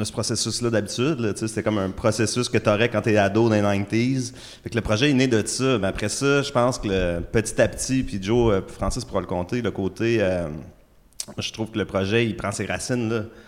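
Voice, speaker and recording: Speaking with a Quebec accent, a man with a fairly low pitch talks at a moderate pace with ordinary pitch variation. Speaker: musician, guitarist. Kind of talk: casual interview chat.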